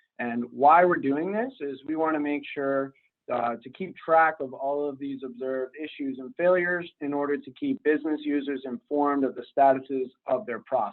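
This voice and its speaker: An ordinary speaking voice runs at a moderate pace with hardly any pauses, ordinary pitch variation and big swings in loudness. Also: man, fairly high pitch for a man. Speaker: robotic operations center manager. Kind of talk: webinar presentation.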